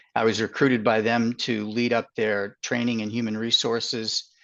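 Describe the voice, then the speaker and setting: In a Boston accent, a man speaks at a medium pitch against a quiet background. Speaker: healthcare consultant. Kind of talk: webinar interview. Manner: hesitant with fillers.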